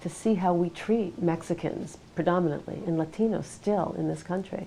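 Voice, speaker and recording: A woman speaks at a moderate pace with a fairly low pitch. Her intonation is fairly even, and she has an unremarkable speaking voice. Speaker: interviewer. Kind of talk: interview questions.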